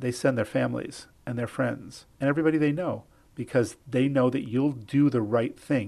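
A man at medium pitch speaks at a fairly quick pace with vocal fry. His pitch varies in an ordinary way against a quiet background. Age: 70s. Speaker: dermatologist. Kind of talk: interview. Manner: conversational.

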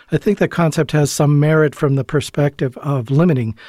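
Speaking at a fairly quick pace, a man with a fairly high pitch has a dark, mellow tone, a somewhat breathy quality and fairly even intonation, in a very clean recording with a silent background and a dry, close sound with no echo. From Canada. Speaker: emergency physician. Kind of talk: interview. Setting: studio.

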